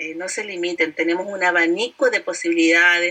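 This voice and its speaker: A woman speaks in a normal speaking voice. Her medium pitch moves with lively intonation. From Chile. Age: 50s. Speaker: direct sales entrepreneur. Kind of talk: interview.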